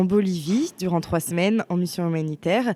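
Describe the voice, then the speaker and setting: A woman with an unremarkable speaking voice, a moderate pace and ordinary pitch variation. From western France (Bressuire). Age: 20s. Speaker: university student. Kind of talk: testimony.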